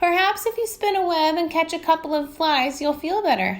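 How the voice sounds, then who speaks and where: A woman's put-on character voice, squeaky and at an extremely high pitch, delivered at a moderate pace. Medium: read story.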